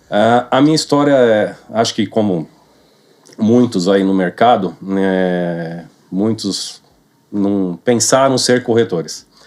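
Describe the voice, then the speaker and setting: A man's fairly low voice, very slow, with ordinary pitch variation. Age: 40s. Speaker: real estate sales manager. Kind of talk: podcast interview.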